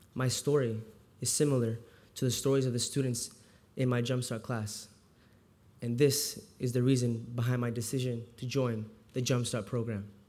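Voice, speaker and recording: With audible room echo around it, a dark, mellow voice moves at a moderate pace in a flat monotone, broken by long, frequent pauses. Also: man, medium pitch for a man. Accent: Iranian. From US, childhood partly in Houston, Texas. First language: Farsi. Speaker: volunteer literacy tutor. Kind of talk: speech. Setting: stage with audience.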